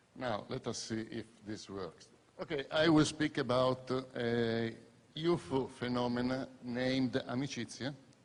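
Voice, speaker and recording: A man with an Italian accent speaks fairly slowly at a medium pitch, with ordinary pitch variation. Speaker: scientist and lecturer. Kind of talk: conference talk.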